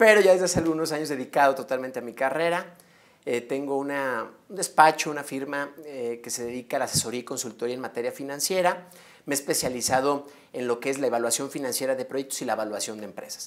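Talking at a very fast pace, a man with a fairly high pitch shows ordinary pitch variation and big swings in loudness. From Mexico, León, Guanajuato; Guanajuato, Mexico. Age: 30s. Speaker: mayoral candidate; candidate. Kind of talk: interview. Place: studio. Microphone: lapel.

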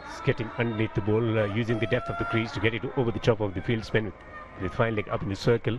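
Over noticeable background noise, a man with a medium pitch talks at a very fast pace in an enthusiastic tone. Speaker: cricket commentator. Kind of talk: live cricket commentary, analytical. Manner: fluent, polished, measured yet enthusiastic.

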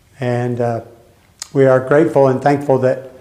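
This is a man speaking at a medium pitch. The background is quiet. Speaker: Bible study leader, church pastor; church pastor. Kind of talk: Bible study lesson with group discussion. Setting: church classroom with group. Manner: conversational, interactive. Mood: calm, reflective. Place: church. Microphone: camera far.

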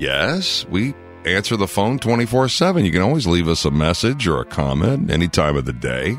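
With music in the background, a man with a very deep, low pitch talks at a fairly quick pace, his pitch swinging very widely while his loudness stays very even. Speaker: radio station host / imaging voice. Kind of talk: radio promo imaging demo.

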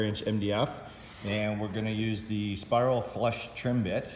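A man talks with monotone, flat intonation against noticeable background noise. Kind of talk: tutorial. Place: workshop.

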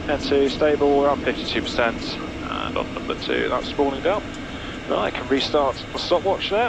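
A man talks at a fairly quick pace over noticeable background noise, the sound dry with no echo. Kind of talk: checklist commentary. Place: plane. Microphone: headset.

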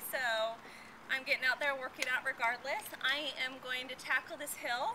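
Noticeable background noise runs under this recording. A woman speaks in a raised, projected voice. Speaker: fitness vlogger. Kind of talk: casual vlog chat. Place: street.

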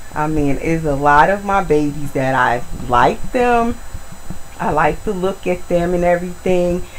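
The speaker talks at a fairly slow pace with lively intonation. Light background noise can be heard. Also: woman, fairly low pitch for a woman. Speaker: video blogger, reborn doll collector. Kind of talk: casual vlog tutorial. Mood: warm, affectionate. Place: home room.

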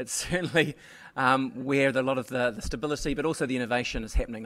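A man speaks with a New Zealand accent. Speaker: radio journalist, editor; radio journalist. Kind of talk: panel discussion. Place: stage. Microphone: podium.

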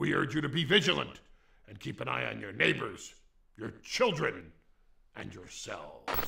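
Using a raspy, put-on character voice, a man talks at a moderate pace with big swings in loudness and long, frequent pauses. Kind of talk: mock official emergency broadcast. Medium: comedy sketch. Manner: grave, reassuring officialese with comic slips.

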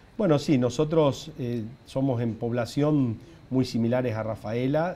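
With light background noise, a man speaks in a dark, mellow tone with ordinary pitch variation. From Argentina, Santa Fe province. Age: 50s. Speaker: mayor. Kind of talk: TV interview. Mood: warm, reflective. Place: studio. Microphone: lapel.

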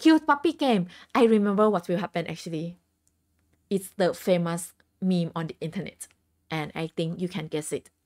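Taking long, frequent pauses, a woman with a fairly low pitch speaks with a Thai accent. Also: ordinary pitch variation, moderate pace, big swings in loudness, quiet background. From Thailand. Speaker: game streamer. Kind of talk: casual live stream chat. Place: home room.

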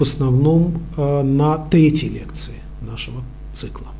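The man talks at a very slow pace. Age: 50s. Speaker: university lecturer and researcher; university lecturer. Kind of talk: lecture. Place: meeting room. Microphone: podium.

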